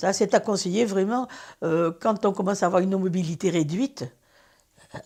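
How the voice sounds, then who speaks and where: A woman with a dark, mellow tone speaks at a moderate pace with lively intonation. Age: 80s+. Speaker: customer. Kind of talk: testimony. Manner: hesitant, with frequent fillers.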